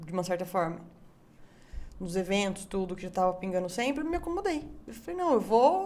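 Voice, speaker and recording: At a fairly quick pace, a woman talks with very wide pitch swings. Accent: strong São Paulo interior. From Brazil, Itu (São Paulo interior). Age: 20s. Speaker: barbecue chef. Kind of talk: casual chat. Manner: animated.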